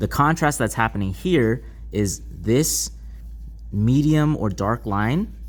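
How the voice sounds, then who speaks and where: There is audible room echo around the voice. A man speaks with very wide pitch swings. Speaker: art teacher. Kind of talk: lecture. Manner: slow.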